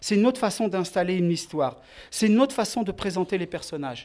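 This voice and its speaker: The speech comes at a very fast pace with ordinary pitch variation. The recording is very clean with a silent background. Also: man. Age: 40s. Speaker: filmmaker. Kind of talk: interview.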